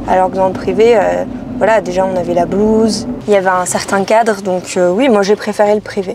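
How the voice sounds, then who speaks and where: A woman at a moderate pace, medium pitch and fairly even intonation, over noticeable background noise. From French Basque Country (Biarritz/Bayonne). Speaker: political activist. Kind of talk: casual interview. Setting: in a car. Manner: hesitant, many fillers.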